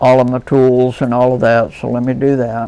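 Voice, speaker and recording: At a moderate pace, a man speaks at a medium pitch with an American accent. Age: 60s. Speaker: leather crafter. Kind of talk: tutorial. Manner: casual, folksy.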